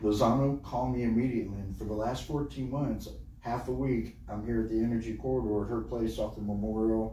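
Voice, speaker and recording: A man with a Texan accent, audible room echo around his voice. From Texas. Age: 60s. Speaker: podcast host and event coordinator. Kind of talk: casual interview chat. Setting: recording studio. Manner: animated.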